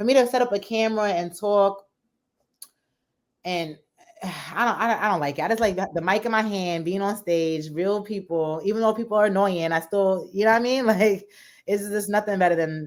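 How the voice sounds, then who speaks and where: A woman's animated voice with lively intonation, at a fairly quick pace in a very clean recording with a silent background. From New Jersey / New York area. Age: young. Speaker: stand-up comedian. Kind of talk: casual interview.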